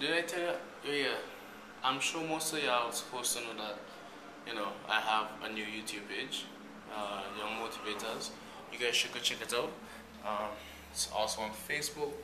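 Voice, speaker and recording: With ordinary pitch variation, a man speaks with long, frequent pauses over noticeable background noise. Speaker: vlogger. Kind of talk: casual vlog chat. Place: hall. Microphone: phone near.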